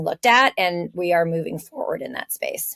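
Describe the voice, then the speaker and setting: Recorded with a dry, close sound and no echo, a woman with a plain, everyday voice speaks in an American accent at a moderate pace with lively intonation. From California. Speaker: podcast co-host. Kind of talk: casual podcast discussion.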